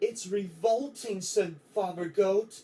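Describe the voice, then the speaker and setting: A man performs a put-on character voice at a high pitch. He speaks at a fairly slow pace. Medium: read story.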